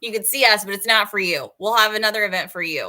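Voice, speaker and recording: Bright and sharp in tone, a woman speaks in an animated way on a very clean recording with a silent background. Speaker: webcast co-host for a recruiting site. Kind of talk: live stream chat. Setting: live stream. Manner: fast.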